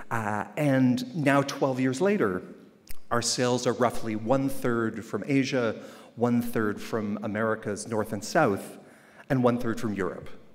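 The pace is fairly slow. Pitch variation is ordinary. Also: man. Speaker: keynote speaker. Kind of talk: keynote speech. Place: hall. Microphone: podium.

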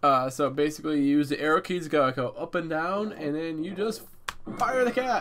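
A man's lively intonation at a moderate pace. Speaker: gaming channel host. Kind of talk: gameplay commentary. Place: home room.

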